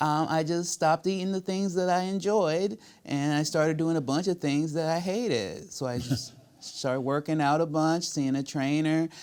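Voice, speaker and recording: A man speaks at a moderate pace in a plain, everyday voice, fairly high in pitch with ordinary variation. The recording is very clean, with a silent background. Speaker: comedian and voice actor. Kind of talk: interview answer.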